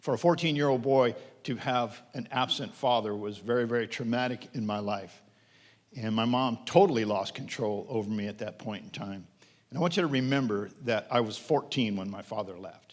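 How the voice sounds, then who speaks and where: In an American accent, a normal speaking voice moves at a moderate pace with ordinary pitch variation. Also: man, medium pitch for a man. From Pennsylvania. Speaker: pastor. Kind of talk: testimony.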